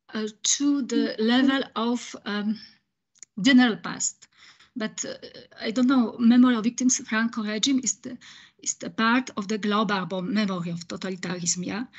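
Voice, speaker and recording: A woman with a somewhat breathy voice talks at a moderate pace. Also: fairly high pitch for a woman, ordinary pitch variation. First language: French. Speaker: audience member asking question. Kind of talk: Q&A question after lecture. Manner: halting, many hesitations.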